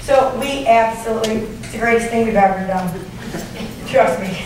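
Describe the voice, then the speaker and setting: A woman speaks loudly at a moderate pace. Audible room echo and noticeable background noise surround her voice. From Michigan, US (Jackson). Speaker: school principal. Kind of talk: conference talk. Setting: stage with audience.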